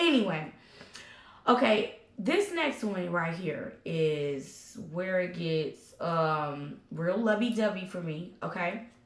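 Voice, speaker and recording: Noticeable background noise and audible room echo surround a woman talking at a very slow pace. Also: medium pitch for a woman, lively intonation. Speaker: tarot reader. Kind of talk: tarot reading. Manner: animated.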